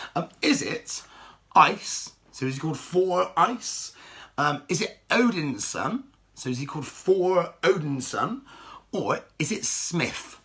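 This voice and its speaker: Very slowly and with lively intonation, a man with a high voice talks in a Bristol accent. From England, Bristol. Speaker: children's entertainer, quiz host. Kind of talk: kids' quiz show. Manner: animated, playful; hesitant fillers.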